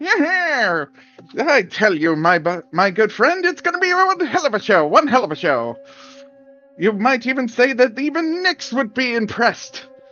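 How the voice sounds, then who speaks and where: A man uses a put-on character voice with a nasal sound and an extremely high pitch, swinging very widely up and down at a moderate pace. Faint music plays in the background. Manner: boisterous.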